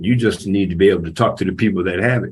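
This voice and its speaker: The man's voice comes across somewhat breathy. He talks at a fairly quick pace, with ordinary pitch variation. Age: 70s. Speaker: community panelist. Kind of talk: panel discussion.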